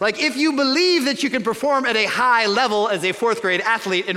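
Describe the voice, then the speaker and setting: A man with an American accent speaks in a raised, projected voice at a fairly quick pace, with lively intonation and noticeable background noise. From suburban Chicago, US Midwest. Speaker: pastor. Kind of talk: sermon. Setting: church.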